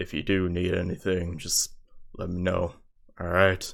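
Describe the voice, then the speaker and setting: At a moderate pace, a raspy put-on character voice speaks. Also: man, very deep, low pitch for a man. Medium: actual play. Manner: smooth, persuasive.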